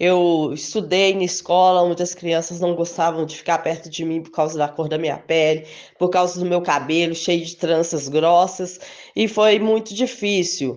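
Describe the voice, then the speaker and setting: A woman's ordinary speaking voice, fairly low-pitched, with fairly even intonation, big swings in loudness and a fairly slow pace. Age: 50s. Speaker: supermarket worker. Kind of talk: testimony.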